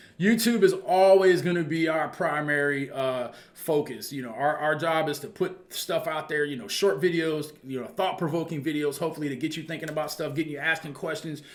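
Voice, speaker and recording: A man with a fairly high pitch talks at a fairly quick pace with hardly any pauses and ordinary pitch variation, while audible room echo and noticeable background noise fill the recording. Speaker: football coach and channel host. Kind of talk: casual monologue to viewers. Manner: fast.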